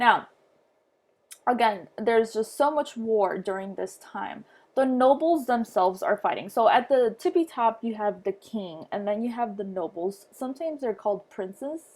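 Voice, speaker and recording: With a non-native accent, a woman speaks at a moderate pace, her fairly high voice carrying lively intonation. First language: not English. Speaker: history teacher. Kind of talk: lecture. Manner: halting, many fillers.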